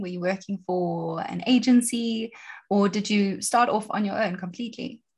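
A somewhat breathy woman's voice with fairly even intonation, set against a quiet background. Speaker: podcast host. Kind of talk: interview.

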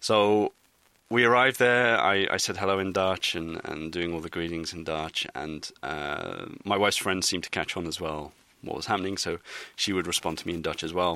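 A man with an English accent speaks at a moderate pace. His pitch is very deep and low, his tone bright and sharp. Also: ordinary pitch variation. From England. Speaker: satirical blogger. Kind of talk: interview. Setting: in person interview in Amsterdam.

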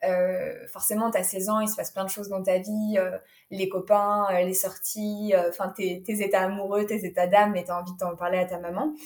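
Her delivery is monotone and flat, a woman at medium pitch keeping a moderate pace. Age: 20s. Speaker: yoga teacher and naturopath. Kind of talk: personal testimony interview. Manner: hesitant, many fillers.

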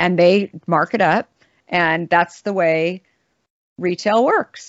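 This woman has a normal speaking voice, fairly low in pitch, with an American accent. She talks at a fairly slow pace with fairly even intonation. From Arizona (Scottsdale). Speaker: beverage company founder and CEO. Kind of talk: casual interview.

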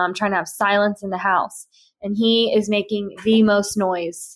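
A woman uses an ordinary speaking voice at a medium pitch, keeping a moderate pace and fairly even intonation. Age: 20s. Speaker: lifestyle podcaster. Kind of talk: casual chat. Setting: at home.

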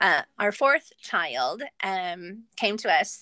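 A woman's voice, dry and close with no echo, against a quiet background. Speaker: adoptive mother and homeschooling mom. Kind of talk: casual interview.

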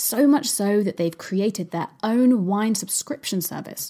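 She has a normal speaking voice. The woman's pitch sits in the medium range. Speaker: podcast host. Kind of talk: podcast interview, intro and outro. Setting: remote recording via Zoom.

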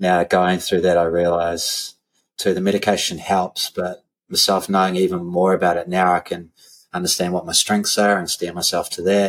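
At a moderate pace, a man speaks with a New Zealand accent. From New Zealand, Christchurch. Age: 40s. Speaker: strength and conditioning coach, gym owner. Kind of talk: casual interview chat.

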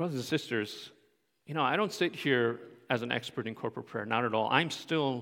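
A man speaks at a medium pitch and moderate pace, with ordinary pitch variation. His tone is bright and sharp on a very clean recording with a silent background. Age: 40s. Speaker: pastor. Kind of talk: sermon. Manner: casual, frequent fillers.

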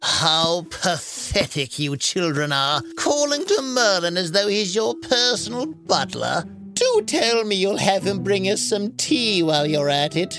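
A put-on character voice at a middle pitch talks at a fairly slow pace with hardly any pauses over clear background noise. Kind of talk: mocking, haughty. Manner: sneering, condescending.

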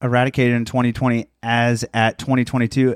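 In a Midwestern US accent, a man at medium pitch speaks at a moderate pace, in a dry, close sound with no echo, on a very clean recording with a silent background. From southern Indiana. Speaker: podcast host. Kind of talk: casual comedic banter.

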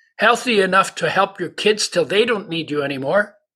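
In a very clean recording with a silent background, a man with a high pitch uses a raised, projected voice and a bright, sharp tone at a moderate pace. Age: 80s. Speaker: nutritionist and oil company founder. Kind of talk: casual interview.

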